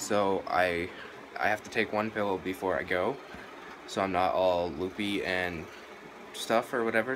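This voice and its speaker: A man's fairly even intonation amid noticeable background noise. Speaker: vlogger. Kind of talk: casual vlog chat. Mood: nervous, a little scared. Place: home room. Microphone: phone near.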